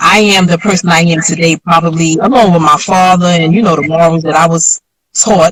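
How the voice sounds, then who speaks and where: A woman speaks with very even loudness. Her intonation is fairly even. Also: fairly low pitch for a woman, fairly quick pace. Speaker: former drug dealer and author. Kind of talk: interview.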